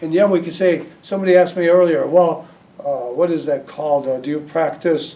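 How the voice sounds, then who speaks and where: Talking at a fairly quick pace, a man with a high pitch shows ordinary pitch variation. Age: 80s+. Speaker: hypnotist. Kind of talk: talk to audience.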